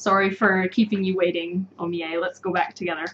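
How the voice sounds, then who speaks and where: With a North American accent, a woman talks at a moderate pace in a plain, everyday voice. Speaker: English teacher. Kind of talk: live online lesson. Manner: clear, explanatory.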